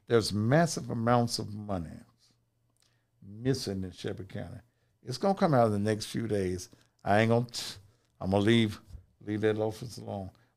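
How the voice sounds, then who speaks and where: In a very clean recording with a silent background, a man with an American accent speaks at a fairly low pitch, using ordinary pitch variation and long, frequent pauses. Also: moderate pace. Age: 60s. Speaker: pastor. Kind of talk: casual chat.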